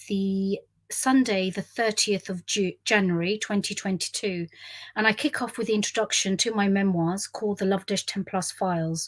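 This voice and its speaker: On a very clean recording with a silent background, a woman with a London accent talks at a moderate pace with fairly even intonation. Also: medium pitch for a woman. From South West London, England. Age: 50s. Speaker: business leader and memoirist. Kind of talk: memoir storytelling to camera. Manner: rambling, conversational.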